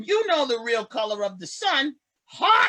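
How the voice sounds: In a put-on character voice, a man speaks extremely high in pitch with big pitch swings, a bright, sharp tone and a fairly slow pace.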